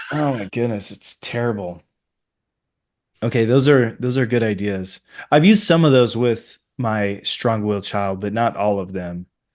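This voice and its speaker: Against a quiet background, a man speaks at medium pitch with ordinary pitch variation. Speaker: podcast host and pastor. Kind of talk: podcast interview. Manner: slow.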